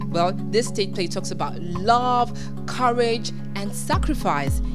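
Clear background music beneath a woman talking. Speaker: presenter. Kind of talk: event show promo presenting. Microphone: handheld.

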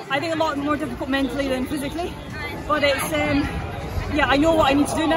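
A woman speaks at a very fast pace. Crowd noise fills the background. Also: dry sound with no echo. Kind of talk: interview answer. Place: stadium. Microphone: handheld.

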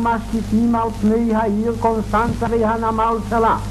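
Very slow speech over light background noise. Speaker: newsreel narrator. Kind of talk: 1930s documentary newsreel narration. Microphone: old recording.

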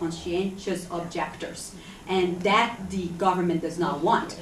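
With light background noise and audible room echo, a woman speaks at a fairly slow pace. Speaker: guest. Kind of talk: Q&A answer to audience. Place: hall.

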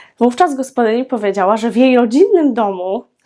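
A woman speaks in a high, dark, mellow voice with lively intonation. The recording is very clean, with a silent background. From Poland, Świętokrzyskie region (Starachowice). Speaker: parenting and language-learning vlogger. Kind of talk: educational vlog monologue.

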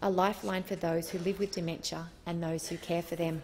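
With a tearful tone and a somewhat breathy voice, a woman talks at a fairly quick pace over light background noise. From Australia. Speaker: politician. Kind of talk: parliamentary speech. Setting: parliament chamber. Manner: emotional, tearful. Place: hall. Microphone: podium.

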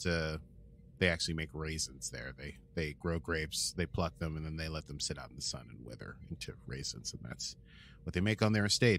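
A man at a moderate pace, with lively intonation. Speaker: podcast co-host. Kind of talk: casual chat. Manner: animated.

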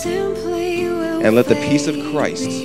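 Loud music plays in the background as a man talks. He speaks at a very slow pace with an American accent. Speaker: wedding celebrant, minister. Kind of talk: scripture reading at wedding ceremony. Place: church. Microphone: handheld.

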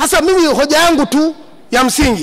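A man talks in an animated tone. His pitch is extremely high. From Manyara region, Tanzania. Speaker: member of parliament. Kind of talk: parliamentary speech. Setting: parliament chamber. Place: hall. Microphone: podium.

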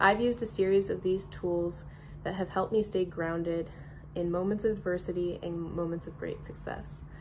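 A woman talks at a fairly quick pace in a fairly low pitch. Her intonation is monotone and flat, with light background noise. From Durham, North Carolina. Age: 20s. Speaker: professional soccer player. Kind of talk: promotional statement to camera. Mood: upbeat, enthusiastic. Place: home room. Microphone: phone near.

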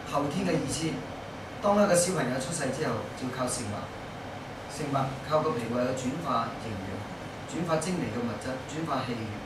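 Amid loud background noise and audible room echo, a man speaks at a moderate pace with long, frequent pauses. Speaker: Chinese medicine practitioner teaching a class. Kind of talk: lecture. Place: classroom. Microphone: camera far.

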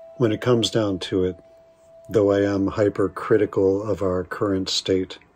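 A man's very deep, low pitch in a monotone, flat intonation at a moderate pace, with faint music in the background. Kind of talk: spoken word poetry reading. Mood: reflective, wry, intense. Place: home room. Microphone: studio mic.

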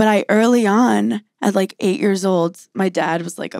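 In an American accent, a woman speaks at a moderate pace against a quiet background, the sound dry with no echo. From US, New York City. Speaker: stand-up comedian. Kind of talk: casual chat. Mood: reflective, candid. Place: studio. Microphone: handheld.

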